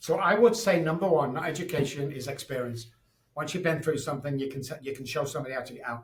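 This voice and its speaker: Speaking at a very fast pace in a Manchester accent, a man uses a fairly high pitch with ordinary pitch variation. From Manchester, England. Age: 60s. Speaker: addiction expert and psychologist. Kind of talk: interview. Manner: animated.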